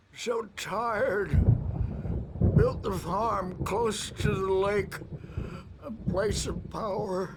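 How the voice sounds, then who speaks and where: A put-on character voice at a middle pitch, very slow, with long, frequent pauses and clear background noise. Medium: video game. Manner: rambling, erratic.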